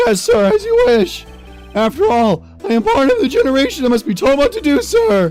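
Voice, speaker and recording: Clear music plays behind a put-on character voice pitched high and delivered at a moderate pace. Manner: eager, overly obedient.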